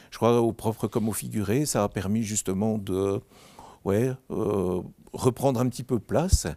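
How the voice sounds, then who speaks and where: A man speaks fairly slowly at a fairly low pitch with a dark, mellow tone and ordinary pitch variation. The recording is very clean, with a silent background and a dry, close sound with no echo. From Belgium, Mouscron (Hainaut). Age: 60s. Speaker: social worker, charity founder. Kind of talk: interview.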